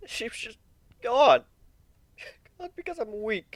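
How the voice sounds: A man uses a put-on character voice at an extremely high pitch. He speaks slowly, with big pitch swings.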